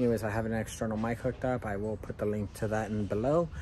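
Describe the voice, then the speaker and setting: Light background noise accompanies a man talking fairly quickly. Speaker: gardening channel host. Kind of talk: casual vlog chat. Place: garden. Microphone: phone near.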